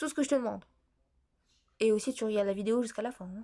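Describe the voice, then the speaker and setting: Her voice fairly high with a dark, mellow tone, a woman speaks at a very fast pace with ordinary pitch variation in a very clean recording with a silent background. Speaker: math tutor on video channel. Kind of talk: tutorial. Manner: hesitant, many fillers.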